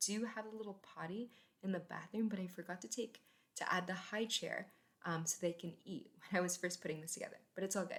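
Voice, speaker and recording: A woman talks at a fairly quick pace in a somewhat breathy, medium-pitched voice with ordinary pitch variation. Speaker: gaming content creator. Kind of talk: voiceover commentary. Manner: fast.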